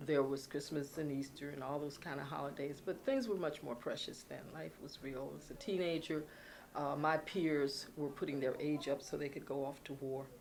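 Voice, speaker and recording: With an American accent, a woman speaks at a moderate pace in a very deep, low voice, her intonation fairly even and the room echo audible. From Philadelphia, US. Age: 70s. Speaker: former TV talk show host. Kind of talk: oral history interview. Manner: halting.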